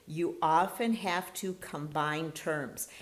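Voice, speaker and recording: A woman speaks with a fairly low pitch and lively intonation. Audible room echo surrounds her voice. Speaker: chemistry instructor. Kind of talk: lecture.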